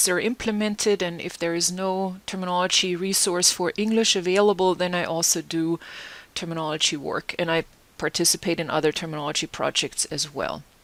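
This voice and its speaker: Medium pitch and ordinary pitch variation in a woman's speech. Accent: German. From Germany. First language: German. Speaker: terminology consultant and lecturer. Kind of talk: conference presentation.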